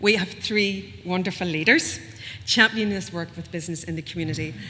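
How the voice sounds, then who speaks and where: With a Northern Irish accent, a woman speaks fairly quickly in a fairly low voice with ordinary pitch variation. Her loudness swings widely, and background noise is noticeable. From Northern Ireland. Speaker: event host. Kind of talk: event welcome speech. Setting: venue with live and online audience.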